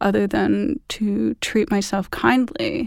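On a very clean recording with a silent background, a woman with an unremarkable speaking voice talks fairly slowly at a medium pitch with ordinary pitch variation. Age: 30s. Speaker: artist and former fashion illustrator. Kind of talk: interview conversation. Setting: recording studio.

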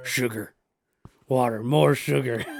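A man puts on a character voice pitched at a medium level. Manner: creepy, hungry craving.

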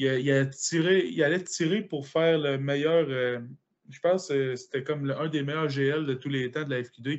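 Speaking in a Quebec accent, a man uses a fairly high pitch and fairly even intonation. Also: fairly slow pace. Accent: Québécois French. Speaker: powerlifter. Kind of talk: casual chat.

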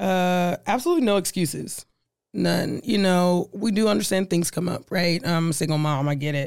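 A woman with an American accent, fairly low-pitched, at a moderate pace with ordinary pitch variation and very even loudness, in a very clean recording with a silent background. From US Midwest, Omaha, Nebraska. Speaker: diversity and inclusion executive. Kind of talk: interview. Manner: animated.

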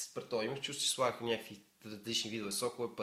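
Over noticeable background noise, a man talks very fast at a medium pitch with fairly even intonation. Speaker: podcast guest. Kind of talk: casual chat.

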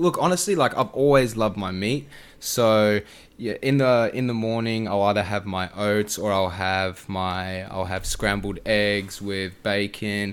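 A man speaks at a fairly slow pace with an Australian accent, in a very clean recording with a silent background. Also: fairly low pitch for a man, ordinary pitch variation. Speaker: food and fitness content creator. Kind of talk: casual chat. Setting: podcast recording.

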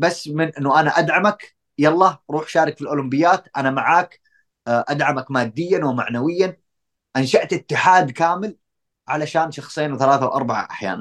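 Speaking at a moderate pace, a man has a fairly high pitch, ordinary pitch variation and an ordinary speaking voice. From Saudi Arabia. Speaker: doctoral researcher in tourism marketing. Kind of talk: casual interview.

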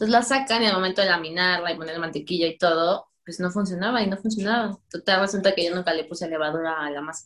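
Talking at a very fast pace, a woman uses a fairly low pitch with ordinary pitch variation. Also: hardly any pauses, big swings in loudness. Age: 20s. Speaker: pastry chef. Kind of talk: casual chat.

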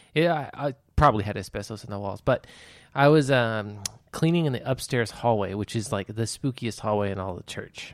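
With an ordinary speaking voice, the man holds a medium pitch that shows ordinary pitch variation. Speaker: podcast host. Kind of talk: casual banter. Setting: studio. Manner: joking, laughs often.

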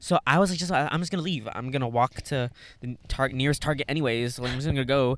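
Very fast male speech, medium in pitch and ordinary in pitch variation. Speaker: podcast co-host. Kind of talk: casual chat. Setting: in a car. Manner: loud.

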